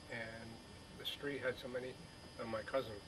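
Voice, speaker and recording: A medium-pitched man speaks in a monotone, flat way against noticeable background noise. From Burlington, Vermont, US New England. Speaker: elderly interviewee recalling childhood. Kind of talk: oral history interview. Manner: halting, many fillers and repeats.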